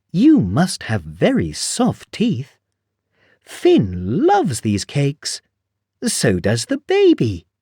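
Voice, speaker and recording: A man does a put-on character voice with a fairly high pitch. He speaks very slowly. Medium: read story.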